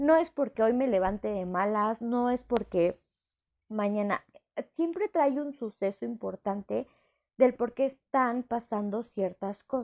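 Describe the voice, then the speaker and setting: A woman's fairly high, warm voice with a Mexico City accent, at a fairly slow pace. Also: ordinary pitch variation. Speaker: psychologist and podcast host. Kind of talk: solo podcast monologue. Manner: warm, chatty.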